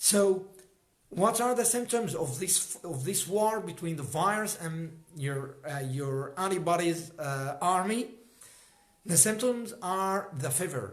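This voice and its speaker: Speaking at a very slow pace with lively intonation, a man with a high voice and an Arabic accent is heard with audible room echo. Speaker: health educator. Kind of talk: livestream talk. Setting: livestream. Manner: halting.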